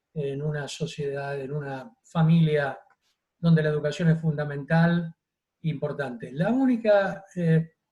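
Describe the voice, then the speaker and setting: A man talks with a dark, mellow, somewhat breathy tone at a fairly high pitch. His pace is fairly slow, with ordinary pitch variation. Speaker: doctor giving a talk. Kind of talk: public health talk answering questions.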